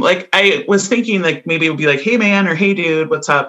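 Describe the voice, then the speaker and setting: A woman's voice with a Midwestern American accent and ordinary pitch variation. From US Midwest. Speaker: podcast co-host. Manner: casual, chatty.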